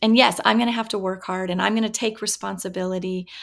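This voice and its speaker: On a very clean recording with a silent background, a woman with an American accent talks in an ordinary speaking voice, medium in pitch with ordinary pitch variation. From Washington State, US. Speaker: professor. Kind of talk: interview.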